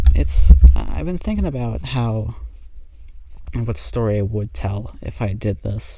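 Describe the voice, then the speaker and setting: A soft-spoken man with a fairly low pitch, very wide pitch swings, a fairly slow pace and long, frequent pauses, over noticeable background noise. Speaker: amateur pianist vlogger. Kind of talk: casual monologue. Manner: halting.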